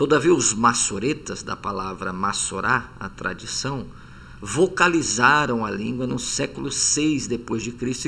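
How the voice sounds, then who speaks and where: The tone is bright and sharp. Vocal fry runs through it. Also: man. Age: 60s. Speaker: Hebrew professor and reverend. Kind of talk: podcast interview.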